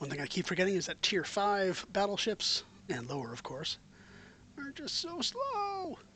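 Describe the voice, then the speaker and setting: Someone speaks with an American accent at a moderate pace. Noticeable background noise runs underneath. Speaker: video game streamer. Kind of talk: live gameplay commentary. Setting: live stream.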